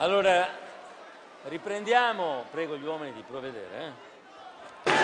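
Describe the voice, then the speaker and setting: A man speaks with lively intonation in a fairly high voice. Noticeable noise sits in the background. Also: moderate pace. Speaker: prime minister. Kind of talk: political rally speech. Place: hall. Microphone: podium.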